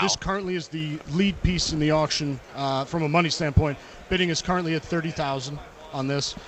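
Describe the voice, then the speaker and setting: A man talks at a fairly quick pace with a fairly high pitch and fairly even intonation. Noticeable background noise runs behind him. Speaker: auction house representative. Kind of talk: radio interview answer. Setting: live radio row event.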